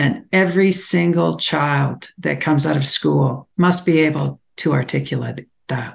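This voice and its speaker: This woman talks at a fairly slow pace in a Canadian accent, her very deep, low pitch marked by vocal fry and ordinary pitch variation. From Alberta, Canada. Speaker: tech founder and investor. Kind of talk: panel discussion.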